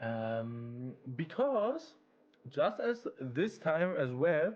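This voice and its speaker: A man talks with a German accent. His pitch swings very widely. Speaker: YouTuber, AI game developer. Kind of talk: casual devlog screen-share talk. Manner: casual with many fillers and repetitions.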